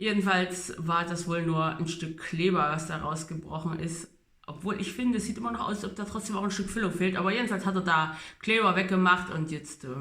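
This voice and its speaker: Amid noticeable background noise and audible room echo, a man talks at a fairly quick pace. His pitch is high and his intonation fairly even. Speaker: vlogger documenting orthodontic treatment. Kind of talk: casual video diary.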